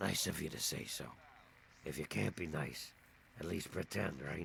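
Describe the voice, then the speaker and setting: Over clear background noise, a man does a raspy, put-on character voice at a moderate pace. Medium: video game. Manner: humble, weary.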